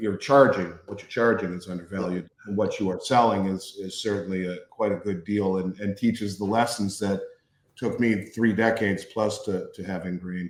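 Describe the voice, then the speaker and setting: This man has an American accent and an unremarkable speaking voice, pitched fairly low. He keeps a moderate pace and fairly even intonation, though his loudness swings a lot. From Minnesota. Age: 50s. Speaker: business owner and show co-host. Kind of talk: interview conversation.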